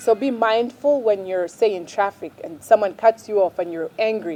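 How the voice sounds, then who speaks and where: In an ordinary speaking voice, a woman talks at a fairly quick pace with a fairly high pitch and ordinary pitch variation, recorded with a dry, close sound and no echo. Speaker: parenting vlogger. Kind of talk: advice talk to camera.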